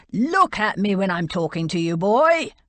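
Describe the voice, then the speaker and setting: A bellowing, put-on character voice, female-sounding and pitched in the middle range. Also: moderate pace. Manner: scary, roaring.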